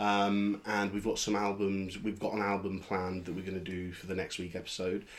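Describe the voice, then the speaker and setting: A man with a London accent, fairly low in pitch, fairly quick, and monotone with flat intonation. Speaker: podcast host. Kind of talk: casual chat.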